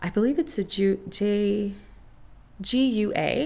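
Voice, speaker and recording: Medium pitch from a female speaker. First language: not English. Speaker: podcast host, crystal reiki master. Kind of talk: casual solo podcast talk. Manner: conversational, with fillers and self-corrections.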